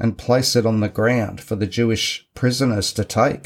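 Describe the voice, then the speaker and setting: In an Australian accent, a man speaks at a fairly slow pace and medium pitch. The recording is very clean, with a silent background. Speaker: podcast host, men's group facilitator. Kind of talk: solo podcast talk, partly scripted. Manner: measured, read-from-notes delivery.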